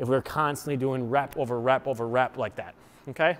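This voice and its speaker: The speaker is a man. He goes at a moderate pace. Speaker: fitness coach. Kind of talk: tutorial. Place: gym.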